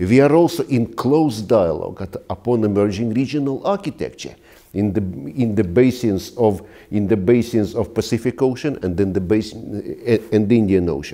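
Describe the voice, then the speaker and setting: A man speaks with a Russian accent and a dark, mellow tone. The background is quiet. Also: ordinary pitch variation, moderate pace. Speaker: ambassador; interviewee. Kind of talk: interview. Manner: halting. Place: home room. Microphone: lapel.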